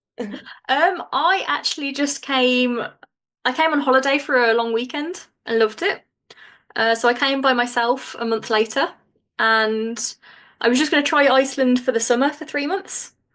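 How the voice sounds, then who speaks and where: Her voice is high-pitched, and the woman talks at a moderate pace with ordinary pitch variation. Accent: Birmingham. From England, Birmingham. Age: 30s. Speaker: podcast host. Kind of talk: scripted intro; interview.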